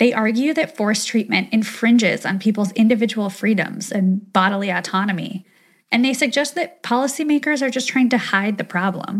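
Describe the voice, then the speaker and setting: A woman speaks at a fairly high pitch, and her voice is somewhat breathy. Her pitch varies in an ordinary way. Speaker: journalist, West Coast correspondent. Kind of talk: reported interview segment.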